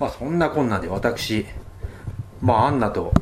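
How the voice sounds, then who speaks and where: Noticeable background noise sits under a man speaking at a moderate speed. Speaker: travel radio host. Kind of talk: solo travel talk. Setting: cheap guesthouse room.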